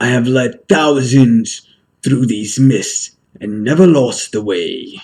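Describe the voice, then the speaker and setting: Fairly slow delivery in a put-on character voice. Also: man, medium pitch for a man, ordinary pitch variation. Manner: self-consciously theatrical.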